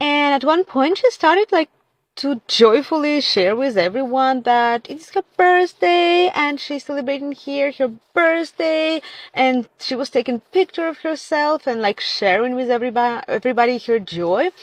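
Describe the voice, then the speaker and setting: A woman's high voice in a Russian accent at a moderate pace. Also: lively intonation, dry, close sound with no echo. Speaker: content creator. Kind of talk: casual social media monologue.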